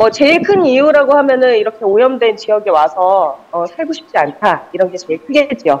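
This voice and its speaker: A woman talks at a moderate pace with hardly any pauses. Her pitch swings very widely. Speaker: field reporter. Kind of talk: interview answer. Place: open country.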